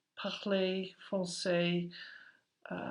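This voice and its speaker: In an English accent, a woman at medium pitch talks at a very slow pace, with audible room echo around her. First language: English (speaking French). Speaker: aerospace employee, French learner. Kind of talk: interview. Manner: halting.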